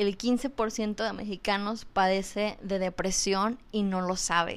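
Here a woman speaks at a very slow pace on a very clean recording with a silent background. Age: 20s. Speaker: podcast host on mental health. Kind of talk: educational talk. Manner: hesitant, repeats words.

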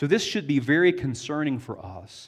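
A man with a Southern US accent speaks at a medium pitch with very wide pitch swings over a quiet background. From US South. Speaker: pastor. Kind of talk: sermon.

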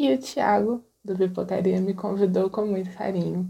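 A woman with a dark, mellow tone and a somewhat breathy voice speaks at a moderate pace. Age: 30s. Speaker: feminist film blogger. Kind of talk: recorded monologue.

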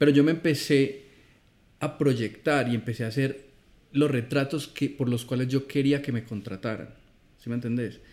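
Fairly even intonation from a man with an Antioquian accent. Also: medium pitch for a man, moderate pace, very clean recording, silent background. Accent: Colombian paisa Spanish. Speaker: film director. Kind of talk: casual chat.

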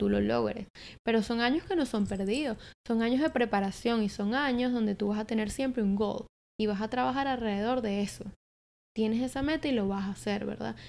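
A plain, everyday voice of a woman, fairly high-pitched, with ordinary pitch variation and a fairly quick pace. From Venezuela, Caracas. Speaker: marketing entrepreneur and content creator. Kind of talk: casual chat. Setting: apartment.

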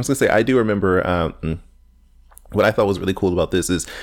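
In a very clean recording with a silent background, a man speaks at a very deep, low pitch with vocal fry. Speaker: podcast co-host. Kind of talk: casual chat.

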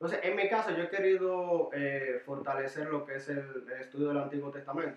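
A man speaks at a moderate pace with hardly any pauses. His pitch is fairly high, with ordinary pitch variation. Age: 20s. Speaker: church youth discipleship leader. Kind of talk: casual interview chat. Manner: hesitant, with fillers.

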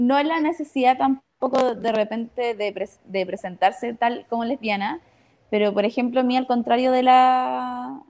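A high-pitched woman's voice at a fairly slow pace with ordinary pitch variation. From northern Chile, Iquique. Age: 20s. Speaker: theatre director. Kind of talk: casual panel discussion.

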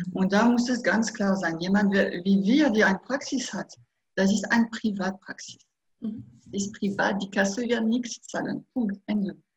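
At a fairly slow pace, a woman with a fairly high pitch speaks in a somewhat breathy voice with fairly even intonation. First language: French (speaking German). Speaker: hypnotherapist. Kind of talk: interview. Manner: halting.

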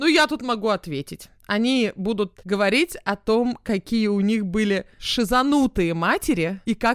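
Recorded very cleanly with a silent background and a dry, close sound with no echo, a woman with an ordinary speaking voice talks at a fairly slow pace at medium pitch with lively intonation. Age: 30s. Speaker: podcast co-host. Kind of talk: casual chat.

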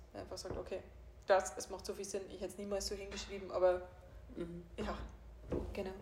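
This is a woman speaking. Vocal fry runs through her voice. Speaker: life coach and podcast host. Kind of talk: casual chat.

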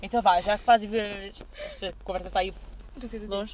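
Her pitch sits fairly high. This woman speaks at a fairly quick pace. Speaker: podcast host. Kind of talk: casual chat. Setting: in a car.

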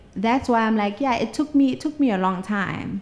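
Background noise is noticeable as a woman speaks at a moderate pace. Her pitch sits fairly high. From South Africa, Mpumalanga. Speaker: social media legal consultant. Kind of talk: interview conversation.

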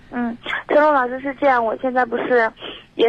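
There is noticeable background noise as a woman talks at a high pitch with fairly even intonation. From Xingtai, Hebei. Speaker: caller, recent graduate. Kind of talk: phone call-in. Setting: phone call.

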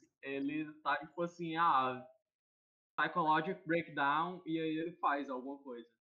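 In a plain, everyday voice, a man with a fairly high pitch speaks at a fairly slow pace with fairly even intonation. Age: 20s. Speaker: podcast panelist. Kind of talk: casual chat.

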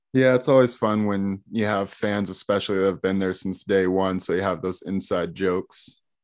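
An ordinary speaking voice, a man's, fairly low in pitch, with fairly even intonation, a moderate pace, hardly any pauses and a quiet background. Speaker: podcast host. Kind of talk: casual interview chat.

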